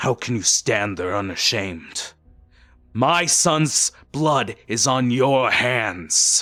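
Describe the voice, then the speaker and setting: Gruff and very slow, a man uses a put-on character voice at medium pitch with lively intonation. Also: very clean recording, silent background. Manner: accusing, hostile.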